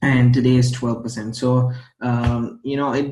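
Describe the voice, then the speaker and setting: Somewhat breathy, a man's voice sits at a medium pitch with fairly even intonation. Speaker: crypto trading youtuber. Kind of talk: casual vlog tutorial. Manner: stumbles over words.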